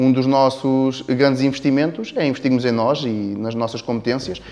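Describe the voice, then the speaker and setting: A man speaks with a European Portuguese accent and fairly even intonation. Music plays in the background. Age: 30s. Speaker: business owner. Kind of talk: interview. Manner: halting.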